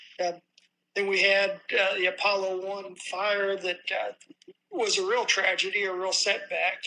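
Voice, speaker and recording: The speaker's raised, projected voice has a bright, sharp tone and a monotone, flat intonation, moving at a fairly slow pace. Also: man, high pitch for a man. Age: 70s. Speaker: former aerospace engineer. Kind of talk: interview storytelling.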